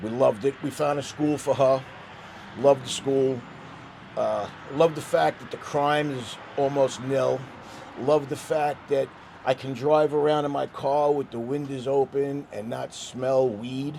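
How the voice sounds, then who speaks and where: A man with a New York accent at a fairly high pitch and fairly slow pace, with monotone, flat intonation, big swings in loudness and noticeable background noise. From New York, Staten Island. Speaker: interviewee, local resident. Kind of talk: street interview.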